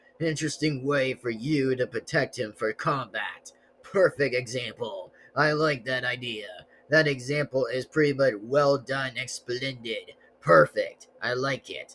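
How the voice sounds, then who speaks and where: Put-on character voice from a man, medium in pitch and moderate in pace. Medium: solo performance. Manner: chuckling, gloating.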